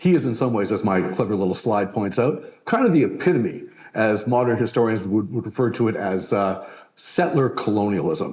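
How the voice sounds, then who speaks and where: Amid audible room echo, a man talks at a moderate pace and a medium pitch with lively intonation. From Canada. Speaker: historian. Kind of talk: lecture. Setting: stage with live audience. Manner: conversational, with fillers.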